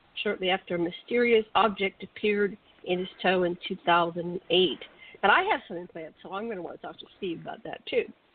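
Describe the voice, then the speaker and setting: A woman at medium pitch and a fairly quick pace, with fairly even intonation, big swings in loudness, and noticeable background noise. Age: 60s. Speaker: radio co-host. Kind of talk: casual chat; reading aloud.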